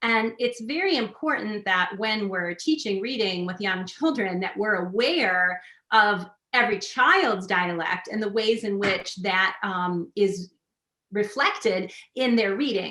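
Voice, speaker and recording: A woman with a Midwestern accent speaks at a fairly slow pace in a medium pitch, with a bright, sharp tone and ordinary pitch variation. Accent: Midwestern, nasalized vowels. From US Midwest. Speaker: literacy researcher. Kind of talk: webinar talk.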